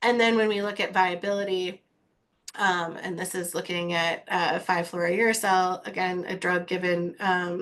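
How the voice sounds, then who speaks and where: A woman with a plain, everyday voice, medium pitch and fairly even intonation, at a fairly slow pace against a quiet background. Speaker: cancer researcher. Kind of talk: lecture.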